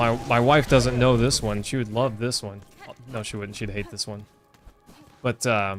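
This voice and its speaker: With music in the background, a man with a slight Texas accent speaks at a moderate pace, his intonation fairly even, his loudness swinging widely, and his pauses long and frequent. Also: medium pitch for a man. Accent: slight Texas twang. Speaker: gaming streamer. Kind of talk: live gameplay commentary. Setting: home, wife in other room. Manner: casual, chatty.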